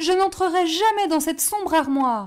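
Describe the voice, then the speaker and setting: A woman performs a put-on character voice at an extremely high pitch. Her intonation is lively and her pace moderate. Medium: read story. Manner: fearful, tearful.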